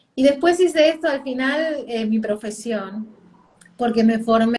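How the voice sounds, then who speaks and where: Ordinary pitch variation in a woman's voice, pitched fairly high. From Argentina. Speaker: parenting coach. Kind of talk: interview. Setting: video call live stream.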